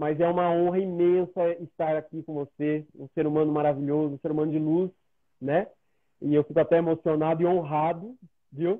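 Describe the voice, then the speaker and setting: A man's fairly high voice at a moderate pace. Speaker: live show host. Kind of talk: interview. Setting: video call. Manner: animated.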